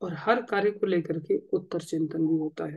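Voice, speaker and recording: A man's dark, mellow voice at a fairly slow pace over a quiet background. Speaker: religious teacher. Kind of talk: sermon. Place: home room. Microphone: lapel.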